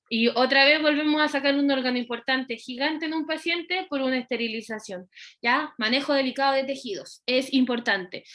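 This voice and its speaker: Bright and sharp in tone, a woman's voice sits high. She talks at a fairly quick pace with ordinary pitch variation. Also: hardly any pauses. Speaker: veterinary surgery lecturer. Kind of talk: lecture. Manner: fast.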